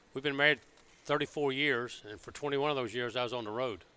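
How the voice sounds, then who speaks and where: Here a man speaks at a fairly quick pace with a Southern US accent. His tone is bright and sharp, with ordinary pitch variation. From Alabama. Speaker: car builder. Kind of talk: casual chat. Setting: car show floor.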